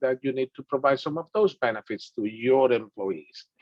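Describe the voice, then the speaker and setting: In a strong Dominican accent, a man speaks at a medium pitch. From Dominican Republic. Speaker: business instructor. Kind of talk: lecture.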